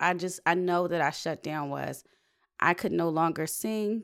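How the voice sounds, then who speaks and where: An unremarkable speaking voice from a woman, fairly low in pitch, with ordinary pitch variation at a moderate pace, on a very clean recording with a silent background. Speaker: singer. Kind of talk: casual chat.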